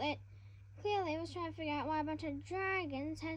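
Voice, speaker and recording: This woman's voice is squeaky. Noticeable background noise can be heard. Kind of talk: casual read-aloud of a children's fantasy novel. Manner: hesitant, stumbles over words.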